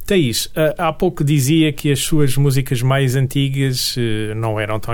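This man speaks with a European Portuguese accent at a medium pitch. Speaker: radio host. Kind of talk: radio interview.

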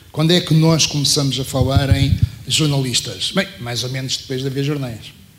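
Speaking at a moderate pace, a man with a fairly high pitch and ordinary pitch variation is heard over noticeable background noise and audible room echo. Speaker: former journalist and programmer. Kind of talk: panel talk. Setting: university auditorium panel.

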